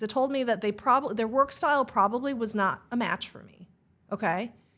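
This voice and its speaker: A woman speaks with an animated tone. Her pitch is high. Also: very clean recording, silent background. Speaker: real estate agent and team leader. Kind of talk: podcast interview. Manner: fast.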